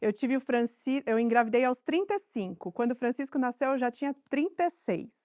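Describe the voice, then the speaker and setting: Speaking at a fairly quick pace with hardly any pauses, a woman uses a high pitch and lively intonation, recorded dry and close with no echo. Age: 40s. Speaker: actress and inclusion consultant. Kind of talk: interview.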